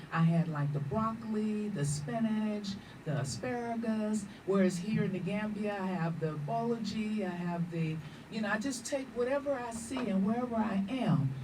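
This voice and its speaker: With lively intonation, a woman speaks at a moderate pace and a medium pitch. The recording has noticeable background noise and audible room echo. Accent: American. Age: 60s. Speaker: vegan cook and health educator. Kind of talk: radio interview.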